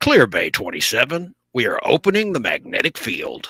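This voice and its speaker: A man puts on a character voice with a high pitch. The sound is dry and close, with no echo. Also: moderate pace. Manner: bad impression, exaggerated.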